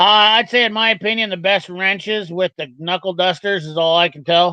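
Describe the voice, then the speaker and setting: A man's high-pitched voice is raised and projected, with a bright, sharp tone and fairly even intonation. The background is quiet. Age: 40s. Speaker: tool reviewer streamer. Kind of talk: live stream chat reading comments. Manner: fast.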